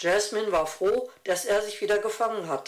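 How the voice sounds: Pitch moves in an ordinary way as someone reads in a natural reading voice.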